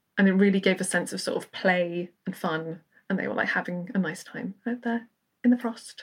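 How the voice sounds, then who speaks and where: At a moderate pace, a woman speaks at a medium pitch with ordinary variation, sounding somewhat breathy. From Wales. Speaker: podcast panelist. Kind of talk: casual chat.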